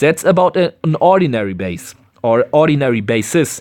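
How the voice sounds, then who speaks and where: This man's pitch sits fairly high and swings very widely. He talks with a German accent. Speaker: gaming YouTuber. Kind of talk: tutorial. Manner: halting.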